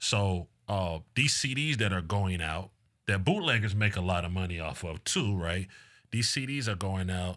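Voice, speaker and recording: A man with an American accent speaks at a fairly slow pace with a very deep, low pitch. The recording is very clean, with a silent background. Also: ordinary pitch variation. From Decatur, Georgia, US South. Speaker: mixtape DJ. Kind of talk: casual interview.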